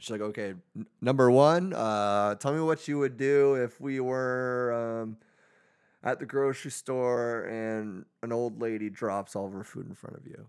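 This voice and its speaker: Here a man has a plain, everyday voice at a medium pitch with ordinary pitch variation. He goes at a fairly slow pace on a very clean recording with a silent background. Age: 30s. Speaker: podcast co-host. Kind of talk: casual chat.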